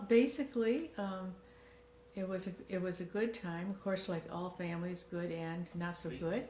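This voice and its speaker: A woman with an American accent at a medium pitch and a moderate pace, with noticeable background noise. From Michigan. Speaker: interviewee in family documentary. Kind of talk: interview storytelling. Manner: hesitant, many fillers.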